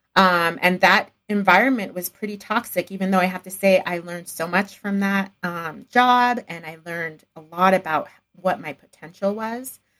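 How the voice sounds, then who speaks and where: A woman with an American accent speaks in a normal speaking voice at a moderate pace and medium pitch, with ordinary pitch variation, hardly any pauses and big swings in loudness. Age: 40s. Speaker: entrepreneur and podcaster. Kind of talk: interview conversation.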